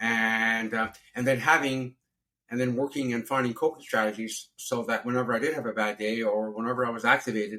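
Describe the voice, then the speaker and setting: A man talks at a medium pitch with a bright, sharp tone. His pace is fairly quick and his intonation monotone and flat. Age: 60s. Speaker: abuse survivor and support worker. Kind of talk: interview testimony. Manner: halting, with frequent repetitions.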